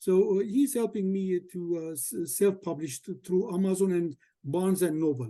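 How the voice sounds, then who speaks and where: A man speaks at a moderate pace with an Armenian accent. His pitch is high, his tone dark and mellow, and his intonation lively. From Syria, Aleppo. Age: 70s. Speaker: memoir writer, attendee asking questions. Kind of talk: Q&A question in a video call. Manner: halting, hesitant.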